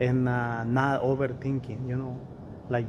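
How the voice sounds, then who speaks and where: A voice with monotone, flat intonation moves at a moderate pace through noticeable background noise and audible room echo. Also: man. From Mexico. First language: Spanish. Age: 40s. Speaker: real estate investor. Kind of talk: interview.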